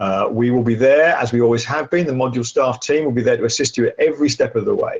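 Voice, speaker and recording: A man speaks in a medium pitch. His pace is fairly quick. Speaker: workshop facilitator. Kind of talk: lecture. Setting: live webcast. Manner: fast.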